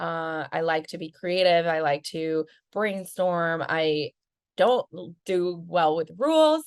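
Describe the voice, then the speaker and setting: Speaking with a Spanish accent, a woman has a fairly low pitch. The sound is dry and close, with no echo. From Venezuela, Caracas. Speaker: marketing agency founder. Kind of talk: casual interview.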